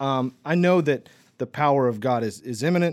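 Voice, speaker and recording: In a very clean recording with a silent background, a man speaks at a fairly slow pace. His is an ordinary speaking voice, medium in pitch, with lively intonation. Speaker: podcast host. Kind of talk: casual interview.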